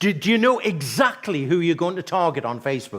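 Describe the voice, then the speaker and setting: This man talks at a fairly quick pace in an animated tone. His pitch swings very widely. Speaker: marketing trainer. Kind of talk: live workshop presentation. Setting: stage with audience. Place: hall.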